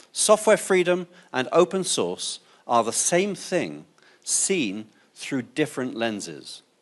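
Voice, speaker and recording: A man with an English accent speaks against a quiet background. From England. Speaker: open source advocate, conference speaker. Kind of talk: conference talk.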